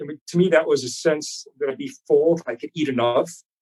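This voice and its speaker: At a moderate pace, a man speaks with a fairly high pitch and ordinary pitch variation in an unremarkable speaking voice, the sound dry and close with no echo. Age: 60s. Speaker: chiropractor and fitness trainer. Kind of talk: interview answer.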